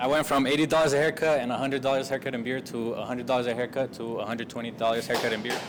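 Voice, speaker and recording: A man with an American accent speaks at a very fast pace with hardly any pauses. His intonation is monotone and flat, and background noise is noticeable. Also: medium pitch for a man. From Colorado, Aurora area. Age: 20s. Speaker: barber. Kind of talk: group coaching discussion.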